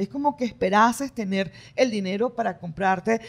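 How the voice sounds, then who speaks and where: The tone is animated, with lively intonation. The pace stays moderate. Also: woman. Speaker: political commentary podcast co-host. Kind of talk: casual political discussion.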